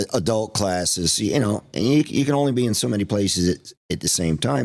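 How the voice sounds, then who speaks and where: With lively intonation and a fairly low pitch, a man talks at a moderate pace in an unremarkable speaking voice, on a very clean recording with a silent background. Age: 60s. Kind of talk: podcast interview.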